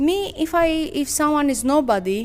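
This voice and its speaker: Against noticeable background noise, a woman with a Greek accent speaks with very wide pitch swings. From Greece, Sparta. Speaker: professional boxer. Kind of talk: interview. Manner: halting.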